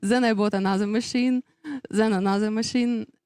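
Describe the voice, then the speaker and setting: A woman with a dark, mellow tone and fairly even intonation is heard in a very clean recording with a silent background and a dry, close sound with no echo. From Russia. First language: Russian. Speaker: business owner, race graphics designer. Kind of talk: interview. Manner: halting, many fillers.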